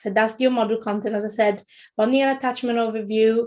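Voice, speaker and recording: A woman speaks with an Italian accent at a fairly high pitch. Her intonation stays monotone and flat. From Italy. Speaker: childcare trainer, former midwife. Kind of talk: webinar lecture. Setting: online webinar. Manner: halting, many fillers and repetitions.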